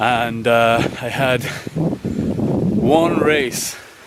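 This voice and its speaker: With a British accent, a man talks with ordinary pitch variation over noticeable background noise. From UK. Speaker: running vlogger, scuba dive instructor. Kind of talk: casual vlog talk. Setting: outdoors in a forest.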